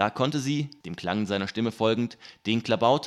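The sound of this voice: An unforced reading voice, its pitch moving in an ordinary way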